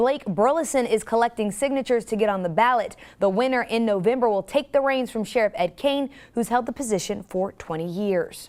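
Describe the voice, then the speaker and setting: A woman speaks in a normal speaking voice, fairly high in pitch, with lively intonation at a fairly quick pace. The recording is very clean with a silent background. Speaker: television news anchor. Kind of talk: TV news anchor delivery.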